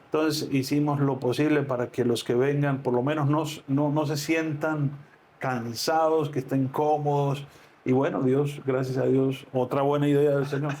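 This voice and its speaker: Speaking fairly slowly in a monotone, flat intonation, a man with a fairly high pitch has a dark, mellow tone and very even loudness. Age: 60s. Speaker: pastor. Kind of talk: interview. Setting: on location at a ministry in Medellín.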